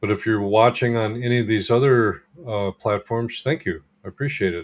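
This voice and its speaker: Using a plain, everyday voice, a man talks at a moderate speed, his pitch medium and his intonation ordinary in its variation. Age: 60s. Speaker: holistic health practitioner and coach. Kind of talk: livestream talk to viewers. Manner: casual, filler words.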